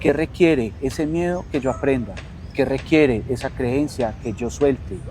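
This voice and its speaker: This man speaks fairly slowly in a calm tone, at a medium pitch with ordinary variation. Noticeable background noise runs behind him. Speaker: coach and teacher. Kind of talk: interview conversation. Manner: soft-spoken.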